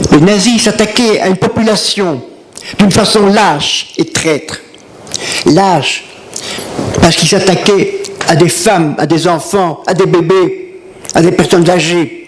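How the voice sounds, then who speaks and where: A man with a high pitch speaks very slowly and at a very even loudness, leaving long, frequent pauses amid noticeable background noise. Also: ordinary pitch variation. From Brussels, Belgium. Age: 80s+. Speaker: Holocaust survivor. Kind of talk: testimony.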